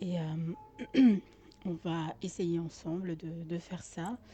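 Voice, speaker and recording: Soft-spoken and somewhat breathy, the voice has a dark, mellow tone and moves at a very slow pace. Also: woman. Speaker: gaming youtuber. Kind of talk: let's play commentary. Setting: home with open window. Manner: hesitant.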